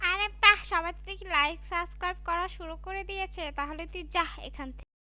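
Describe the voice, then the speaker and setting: A female-sounding put-on character voice at an extremely high pitch cackles at a moderate pace over music in the background. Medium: cartoon. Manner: mocking, domineering.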